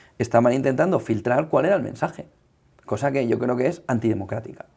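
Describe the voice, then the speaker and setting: A man talks at a very fast pace, his pitch medium and his tone dark and mellow. The recording is very clean, with a silent background. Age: 40s. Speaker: journalist and media founder. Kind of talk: interview conversation.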